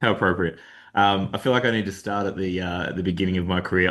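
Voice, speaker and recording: Very fast, monotone, flat delivery with an Australian accent over a quiet background. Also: man. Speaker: delivery lead at consulting firm. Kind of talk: webinar presentation. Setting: video call webinar.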